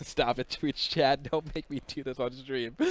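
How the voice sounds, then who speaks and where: Lively intonation marks this man's speech, delivered with an American accent. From US Southeast (Florida, Orlando area). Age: 20s. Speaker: livestream host. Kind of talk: casual chat. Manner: fast; animated.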